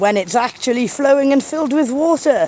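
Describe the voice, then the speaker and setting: Against noticeable background noise, a woman with a South Wales accent talks at a moderate pace. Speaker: nature video creator. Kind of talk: live-stream chat with viewers. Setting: outdoors by a river. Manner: casual, chatty.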